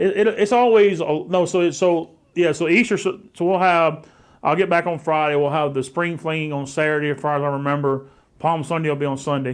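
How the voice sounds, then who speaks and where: A man's fairly high voice with ordinary pitch variation, at a fairly quick pace over a quiet background. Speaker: pastor. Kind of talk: casual chat. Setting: live stream at home.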